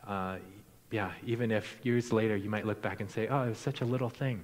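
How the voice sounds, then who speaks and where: Speaking in a Midwestern American accent, a man uses a fairly low pitch with ordinary pitch variation, and audible room echo can be heard. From US Midwest, Iowa. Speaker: missionary. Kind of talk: sermon. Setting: church.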